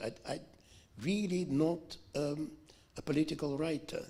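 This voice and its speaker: A man speaks at a fairly slow pace with vocal fry. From Russia. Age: 70s. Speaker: author. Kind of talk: Q&A answer at book event. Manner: halting.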